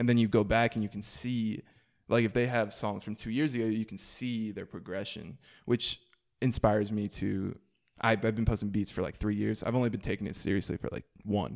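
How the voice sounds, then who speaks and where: This is a normal speaking voice with fairly even intonation, moving at a fairly quick pace. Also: man, fairly low pitch for a man. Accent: American. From US South. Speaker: musician. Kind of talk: casual chat.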